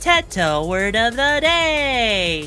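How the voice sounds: This is a put-on character voice with a fairly high pitch. Clear music plays behind it.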